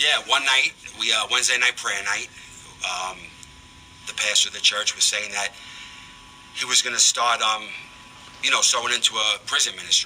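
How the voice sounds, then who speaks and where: With noticeable background noise, a man talks with a slight Bronx accent. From New York, the Bronx. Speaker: prison ministry volunteer. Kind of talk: radio interview testimony. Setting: radio studio.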